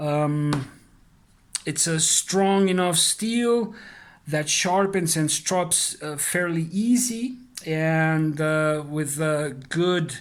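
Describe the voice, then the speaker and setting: A man's very slow speech in a non-native accent, fairly high in pitch with ordinary pitch variation. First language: not English. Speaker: knife reviewer. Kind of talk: product review. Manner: halting, many fillers; casual.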